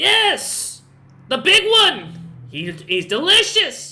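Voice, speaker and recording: A shrill, high-pitched put-on character voice drawls at a very slow pace with very wide pitch swings. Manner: loud, excited.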